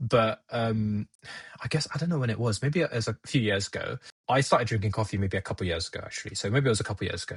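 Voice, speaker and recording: With lively intonation, a man talks at a medium pitch in a somewhat breathy voice. The sound is dry and close, with no echo. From India then UK from age nine. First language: Gujarati. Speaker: podcast guest. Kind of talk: casual chat. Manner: halting.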